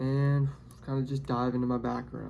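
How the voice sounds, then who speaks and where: Talking at a fairly quick pace in a Tennessee accent, a man with medium pitch uses monotone, flat intonation over noticeable background noise. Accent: Southern US (Tennessee). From Tennessee, Nashville area. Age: 20s. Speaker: pipeline x-ray worker and new YouTuber. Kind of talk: casual vlog monologue. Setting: hotel room. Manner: halting, with repeated words.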